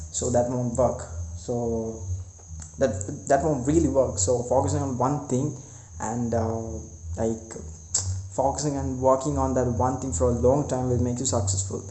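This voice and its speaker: A man speaks with vocal fry and long, frequent pauses. Audible room echo surrounds his voice. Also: medium pitch for a man, ordinary pitch variation, fairly slow pace. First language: not English. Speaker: vlogger. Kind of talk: casual vlog monologue. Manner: halting, many fillers and repetitions.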